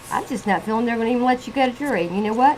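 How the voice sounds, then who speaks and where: With noticeable noise in the background, the woman's voice sits fairly high. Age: 60s. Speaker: vlogger reviewing a reality TV show. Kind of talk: casual video commentary. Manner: animated.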